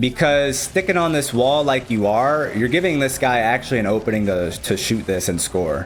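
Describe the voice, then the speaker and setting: A man with a strong Chicago accent at medium pitch and moderate pace, lively intonation, very even loudness and hardly any pauses, over noticeable background noise. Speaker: gaming coach, streamer. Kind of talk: replay analysis commentary.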